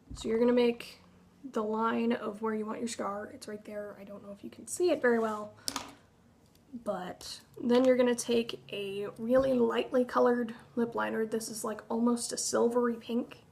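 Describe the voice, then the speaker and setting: Noticeable background noise surrounds a woman talking at a fairly high pitch. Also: moderate pace. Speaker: cosplay makeup tutorial creator. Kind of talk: tutorial. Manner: casual, filler-heavy.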